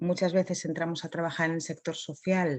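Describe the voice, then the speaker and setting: A soft-spoken woman's dark, mellow tone against a quiet background. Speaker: psychologist giving a conference talk. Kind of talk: conference talk.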